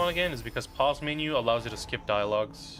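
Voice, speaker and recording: A man speaks at a very fast pace with lively intonation. Music plays in the background. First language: not English. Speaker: gaming streamer. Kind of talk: live stream commentary. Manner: casual, halting with repetitions.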